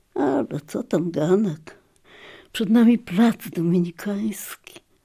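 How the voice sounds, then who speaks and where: Somewhat breathy and dark, mellow in tone, a woman speaks at a fairly low pitch with ordinary pitch variation. Her pace is very slow. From Lviv, formerly eastern Poland (now Ukraine). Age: old. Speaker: memoirist. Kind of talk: scripted narration.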